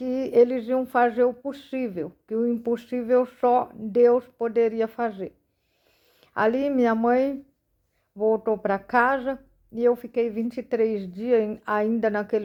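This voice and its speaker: Fairly slowly, a woman talks. The intonation she uses stays fairly even. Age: 40s. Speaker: missionary. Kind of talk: testimony.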